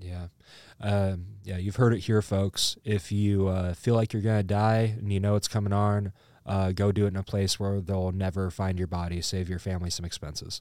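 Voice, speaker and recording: A man with a Midwestern American accent speaks in a fairly low pitch with a dark, mellow tone and monotone, flat intonation. The recording is very clean, with a silent background. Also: moderate pace. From Iowa, Burlington. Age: 20s. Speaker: comedian. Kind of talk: casual chat.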